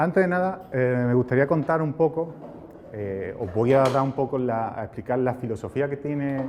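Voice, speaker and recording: A medium-pitched man's voice in an Andalusian accent, with ordinary pitch variation and noticeable background noise. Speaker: cybersecurity engineer. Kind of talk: conference talk.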